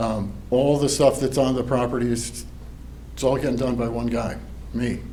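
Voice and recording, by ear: A man speaks at a medium pitch with fairly even intonation. Room echo is audible. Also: moderate pace.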